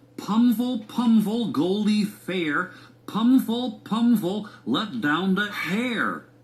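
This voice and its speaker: This is a quiet, put-on character voice with a fairly high pitch. It moves at a very slow pace. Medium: read story. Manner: quiet, cautious.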